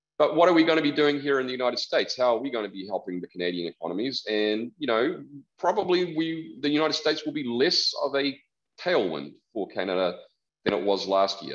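A man with a New Zealand accent speaks very fast, his voice fairly high in pitch. His pitch swings very widely, and the background is quiet. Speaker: economist; presenter. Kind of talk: presentation. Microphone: video call.

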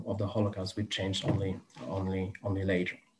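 With a Polish accent, the voice has a dark, mellow tone and comes across somewhat breathy. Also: man. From Poland. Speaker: museum educator. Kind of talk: lecture. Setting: video call. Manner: halting. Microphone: video call.

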